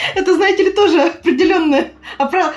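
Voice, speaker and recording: Background music accompanies a woman as she talks. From Buryatia, Ulan-Ude. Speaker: tour guide. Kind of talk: casual chat. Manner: animated.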